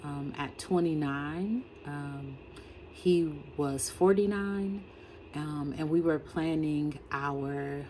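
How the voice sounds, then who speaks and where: A woman speaks at a very slow pace in a very deep, low pitch. Her intonation is fairly even, and there is noticeable background noise. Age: 50s. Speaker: writer and education consultant. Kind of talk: personal vlog monologue. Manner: halting, many fillers.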